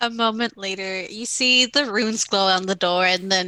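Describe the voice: Plain reading aloud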